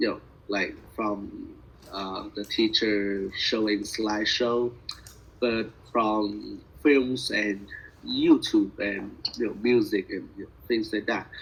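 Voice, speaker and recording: Through noticeable background noise, a man with a Vietnamese accent speaks at a very slow pace. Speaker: language student. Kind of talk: speaking practice conversation. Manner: halting, many fillers.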